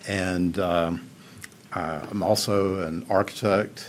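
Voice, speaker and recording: In a Southern US accent, a man speaks with a very deep, low pitch and fairly even intonation, with audible room echo. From Upstate South Carolina, Greenville. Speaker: architect. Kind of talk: public testimony. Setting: county council meeting. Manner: halting.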